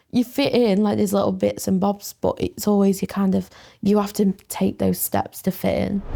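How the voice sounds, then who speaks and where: A woman with an English accent, very even loudness and a moderate pace. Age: 20s. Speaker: student mental health nurse. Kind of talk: casual chat.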